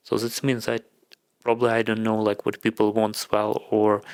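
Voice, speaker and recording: A man with a Ukrainian accent speaks in a monotone with flat intonation. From Ukraine. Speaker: content creator. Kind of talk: casual vlog monologue. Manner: halting.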